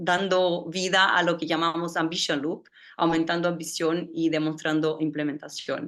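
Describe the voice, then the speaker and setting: Speaking with a Brazilian accent, a woman uses a fairly low pitch at a moderate pace. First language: Portuguese (speaking Spanish). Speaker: climate policy director. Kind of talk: panel presentation. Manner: halting, many fillers.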